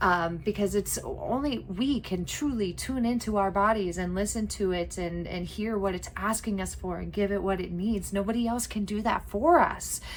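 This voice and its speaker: A woman's medium-pitched voice moves at a moderate pace with ordinary pitch variation and hardly any pauses, with audible room echo. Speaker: herbalism teacher. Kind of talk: lecture.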